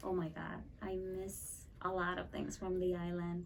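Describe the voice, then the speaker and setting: In a Spanish accent, a woman speaks at a medium pitch amid audible room echo. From Puerto Rico. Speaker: ESL teacher. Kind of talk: casual interview.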